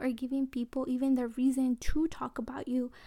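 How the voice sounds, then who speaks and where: A woman's high-pitched voice with a dark, mellow tone, in a very clean recording with a silent background. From Oaxaca, Mexico (Mixtec community), raised in California from age 8. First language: Mixtec. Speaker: podcast host. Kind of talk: personal storytelling monologue. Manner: hesitant, many filler ums.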